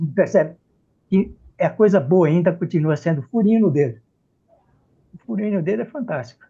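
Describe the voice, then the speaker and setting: A man's voice with ordinary pitch variation. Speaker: professor, malaria expert. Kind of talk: panel discussion. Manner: halting.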